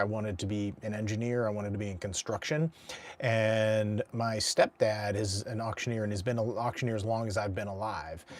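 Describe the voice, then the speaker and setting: Here is an unremarkable speaking voice. It moves at a moderate speed. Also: man. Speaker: professional charity and fundraising auctioneer and auctioneer coach. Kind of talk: casual talk to camera.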